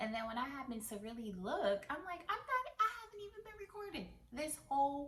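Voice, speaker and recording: A woman speaks at a moderate pace with very wide pitch swings while noticeable background noise runs underneath. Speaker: beauty YouTuber. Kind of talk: product unboxing vlog.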